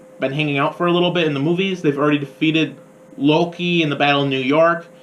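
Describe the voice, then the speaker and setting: Against noticeable background noise, a man with an American accent speaks at a fairly high pitch. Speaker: college radio host, film reviewer. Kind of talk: radio film review. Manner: voice rising higher with excitement; animated.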